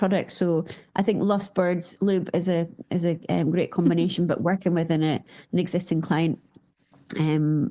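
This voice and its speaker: Set against a silent background in a very clean recording, this voice has a dark, mellow tone, ordinary pitch variation and a Scottish accent. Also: woman. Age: 40s. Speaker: company founder. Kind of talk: interview conversation. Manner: hesitant, many fillers.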